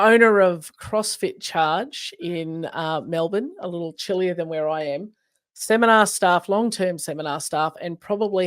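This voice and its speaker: On a very clean recording with a silent background, a woman speaks with an Australian accent. Her pace is moderate and her pitch fairly low. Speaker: podcast host. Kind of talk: casual chat. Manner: animated.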